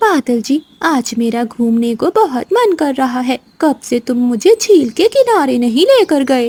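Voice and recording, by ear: In a cartoonish character voice, a woman talks at a moderate pace with a high pitch.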